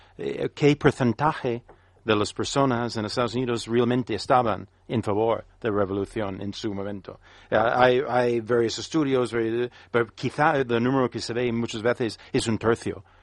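Over a quiet background, a man with a medium-pitched voice talks at a fairly slow pace with fairly even intonation. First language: English (speaking Spanish). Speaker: business consultant and analyst. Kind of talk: panel discussion. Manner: halting.

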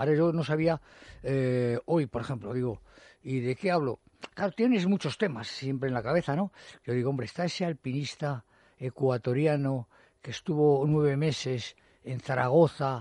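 A man speaks at a moderate pace in a fairly high pitch with ordinary pitch variation. His tone is dark and mellow, and the sound is dry and close with no echo. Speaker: mountaineer and writer. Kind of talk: radio interview. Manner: halting, many repetitions.

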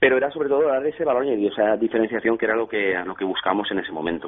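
A man's medium-pitched voice at a very fast pace, ordinary pitch variation, and noticeable background noise. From Valencia region, Spain (Xàtiva). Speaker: craft beer entrepreneur. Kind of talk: radio interview. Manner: halting.

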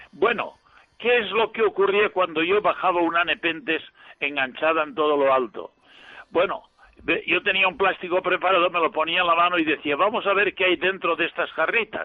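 Speaking with ordinary pitch variation, a man uses a high voice. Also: moderate pace. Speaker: priest and botanist. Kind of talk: casual chat. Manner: hesitant, many fillers.

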